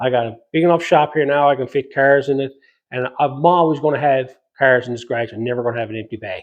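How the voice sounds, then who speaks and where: A man with a Newfoundland accent talks at a very fast pace. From Newfoundland, Canada. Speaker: metal fabrication YouTuber. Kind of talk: casual Q&A talk to camera. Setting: home garage workshop.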